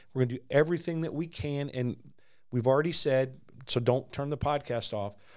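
A man with an unremarkable speaking voice talks at a fairly high pitch and a fairly quick pace with ordinary pitch variation. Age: 50s. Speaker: pastor. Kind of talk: casual chat about faith.

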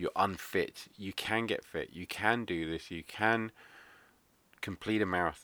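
The recording is very clean with a silent background. A man with an English accent talks at a fairly slow pace in a bright, sharp tone, with ordinary pitch variation. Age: 30s. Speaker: podcast host, stroke survivor. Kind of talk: casual monologue.

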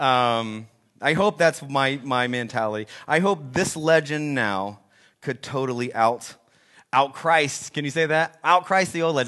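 A man talks at a fairly slow pace in a medium pitch with ordinary pitch variation. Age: 40s. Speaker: pastor. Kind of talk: sermon. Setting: church. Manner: halting.

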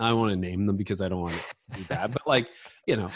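An ordinary speaking voice from a man, fairly low in pitch with ordinary pitch variation, on a very clean recording with a silent background. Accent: Canadian. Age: 50s. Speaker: leadership podcaster and author. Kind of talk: interview.

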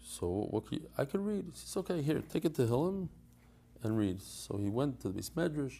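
The voice moves at a fairly quick pace with very wide pitch swings, its tone dark and mellow and somewhat breathy. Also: man, fairly high pitch for a man. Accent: American. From US Northeast. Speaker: Daf Yomi teacher. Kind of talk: interview conversation. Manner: casual, hesitant with fillers.

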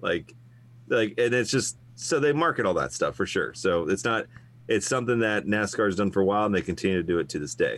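A man speaks at a fairly quick pace in a fairly low pitch, with vocal fry and lively intonation, on a very clean recording with a silent background. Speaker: co-host, motorsports historian. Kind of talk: casual conversation.

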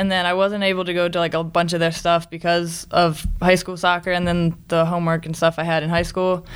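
With an American accent, a woman speaks at a fairly quick pace with hardly any pauses, her fairly low voice monotone and flat. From Maryland, US. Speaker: college athlete. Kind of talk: interview.

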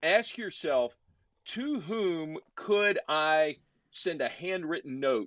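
A man at a very slow pace, ordinary pitch variation, a dry, close sound with no echo and a quiet background. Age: 50s. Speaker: podcast host. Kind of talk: casual interview.

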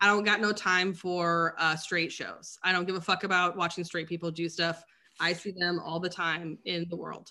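An animated woman with an American accent, fairly low in pitch with a bright, sharp tone, at a moderate pace in a very clean recording with a silent background. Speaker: astrologer. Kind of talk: casual chat. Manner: animated, profane.

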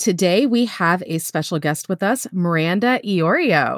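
With an American accent, a woman uses a plain, everyday voice at a medium pitch with lively intonation. The recording is very clean with a silent background, dry and close with no echo. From Florida. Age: 40s. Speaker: podcast host. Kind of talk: casual chat.

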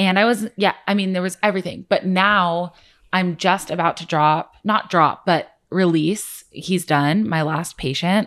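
A woman with an ordinary speaking voice talks at a medium pitch with ordinary pitch variation. The recording is very clean, with a silent background. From US, Orange County. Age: 20s. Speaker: food blogger. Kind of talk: casual chat.

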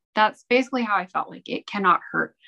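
Against a quiet background, a woman with an American accent talks in a bright, sharp tone. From Utah. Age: 30s. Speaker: guest sharing a religious testimony. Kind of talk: testimony.

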